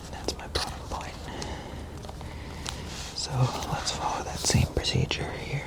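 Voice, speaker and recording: Whispering man with long, frequent pauses over noticeable background noise. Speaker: ASMR artist. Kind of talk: soft-spoken ASMR sketching talk. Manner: soft-spoken, hesitant.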